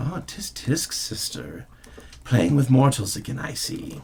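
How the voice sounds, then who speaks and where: A man does a put-on character voice that is raspy and soft-spoken at a medium pitch. He goes at a fairly slow pace, with lively intonation and big swings in loudness. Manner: wry, knowing, archaic phrasing.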